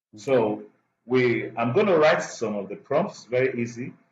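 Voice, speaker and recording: With a somewhat breathy sound, this man keeps a fairly slow pace and a medium pitch. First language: not English. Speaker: instructor. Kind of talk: tutorial. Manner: halting.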